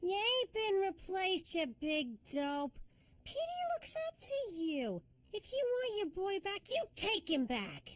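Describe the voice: Woman's cartoonish character voice at an extremely high pitch, with very wide pitch swings and a fairly slow pace.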